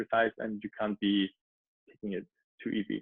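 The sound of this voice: A man with a German accent at a fairly quick pace.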